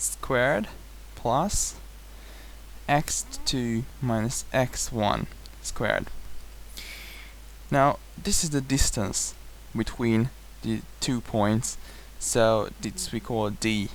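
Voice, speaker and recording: A man's very slow speech in a non-native accent, broken by long, frequent pauses. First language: not English. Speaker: math tutor. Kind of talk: tutorial lecture. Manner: hesitant at times.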